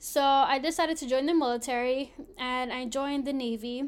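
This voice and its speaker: With a Philadelphia accent, a woman speaks in a high pitch and an animated tone. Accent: Philadelphia American. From Philadelphia, US. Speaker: podcast host, Navy veteran. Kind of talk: casual monologue. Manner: animated, frequent laughter.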